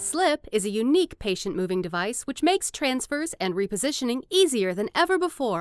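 A woman talks at a fairly quick pace with very wide pitch swings, in a dry, close sound with no echo, as music plays in the background. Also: hardly any pauses. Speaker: voice actor. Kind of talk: corporate narration for a medical product demo. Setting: studio.

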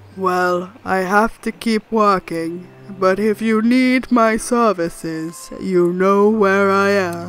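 In a put-on character voice at middle pitch, the speaker goes at a very slow pace over faint background music.

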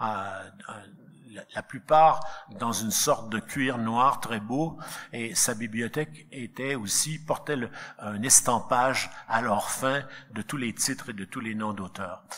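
A man speaks at a very slow pace with ordinary pitch variation. He pauses long and often. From Quebec. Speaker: philosophy professor and book editor; panelist. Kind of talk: book launch speech. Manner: halting, repeated words. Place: hall. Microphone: podium.

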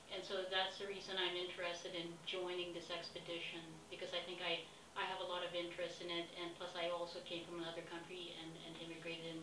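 Over noticeable background noise, a woman speaks at a very fast pace in a fairly low voice. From Philippines. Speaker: expedition applicant. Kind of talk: self-recorded application pitch. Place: home room. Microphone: webcam.

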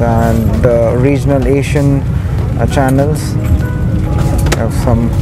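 Music plays in the background as a man speaks at a very slow pace, the sound dry with no echo. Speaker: travel reviewer host. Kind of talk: casual vlog review commentary. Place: plane. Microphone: phone near.

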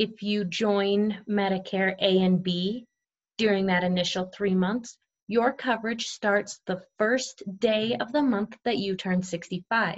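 A woman at a very slow pace with fairly even intonation against a quiet background. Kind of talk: tutorial. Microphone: webcam.

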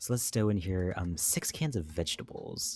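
In a very clean recording with a silent background, a man speaks at a moderate pace and fairly low pitch, somewhat breathy and with lively intonation. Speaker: streamer, game commentator. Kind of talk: live stream commentary.

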